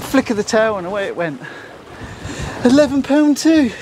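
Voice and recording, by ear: A man's slightly mellow tone at a moderate pace, with big pitch swings over faint background noise.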